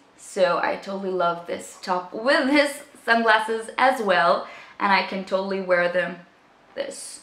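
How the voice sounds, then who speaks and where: Audible room echo surrounds the voice. A woman speaks at a fairly slow pace with ordinary pitch variation. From Israel. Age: 20s. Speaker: beauty vlogger. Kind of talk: casual talk to camera. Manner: upbeat, chatty. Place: home room.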